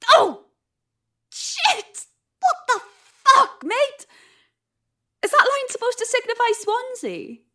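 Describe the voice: A woman's put-on character voice, extremely high and fairly bright, with big pitch swings, a slow pace and long, frequent pauses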